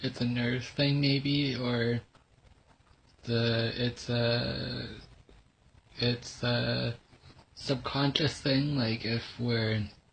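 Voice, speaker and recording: A somewhat breathy man's voice at medium pitch, monotone and flat, with very even loudness, a very slow pace and long, frequent pauses. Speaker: vlogger. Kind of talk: personal testimony vlog. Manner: halting, many fillers.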